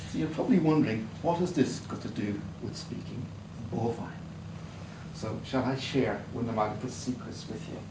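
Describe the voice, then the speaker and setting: With an Irish accent, a man at medium pitch speaks in an animated tone at a moderate pace, with ordinary pitch variation and long, frequent pauses. Audible room echo and noticeable background noise fill the recording. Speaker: Toastmasters club speaker. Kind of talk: prepared humorous speech. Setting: club meeting with audience. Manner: animated, varied vocal delivery.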